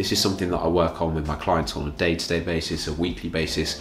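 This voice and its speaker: A speaker with a British accent talks at a fairly quick pace. Noticeable background noise and audible room echo are present. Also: man. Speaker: fitness coach. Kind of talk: tutorial.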